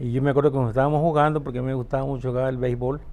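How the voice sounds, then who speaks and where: A man talks at medium pitch with a dark, mellow tone and monotone, flat intonation. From Mexico, Reforma, Chiapas. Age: 60s. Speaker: interviewee, older brother of the interviewer. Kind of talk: family interview, personal reminiscence. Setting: at home in Reforma, Chiapas. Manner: halting, with repetitions and fillers.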